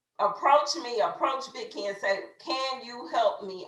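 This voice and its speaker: A woman with an American accent makes very wide pitch swings amid audible room echo. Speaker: network marketing team leader. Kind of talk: motivational training talk. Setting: video call. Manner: loud; animated.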